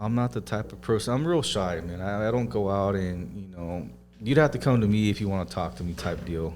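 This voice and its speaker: Speaking at a fairly quick pace, a man uses lively intonation. It is a normal speaking voice. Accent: American. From southern California. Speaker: auto detailing business owner. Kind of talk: podcast interview. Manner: casual, laid-back.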